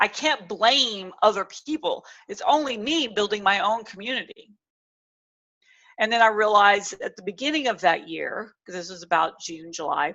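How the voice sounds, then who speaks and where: A woman's animated, fairly high voice with a bright, sharp tone, lively intonation, big swings in loudness, and a moderate pace. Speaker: public speaking coach. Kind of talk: webinar presentation.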